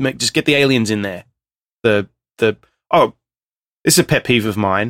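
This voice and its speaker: A man with an Australian accent at a moderate pace, ordinary pitch variation, and a dry, close sound with no echo. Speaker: podcast co-host. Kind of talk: casual chat.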